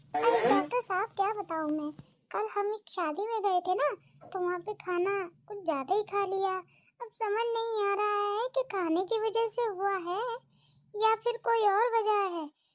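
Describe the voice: A woman's cartoonish character voice, extremely high in pitch, at a moderate pace with ordinary pitch variation.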